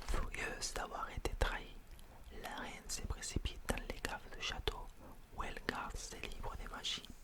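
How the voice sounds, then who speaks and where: A man whispers at a moderate pace. Background noise is noticeable. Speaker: ASMR creator. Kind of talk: whispered bedtime story reading. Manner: whispered.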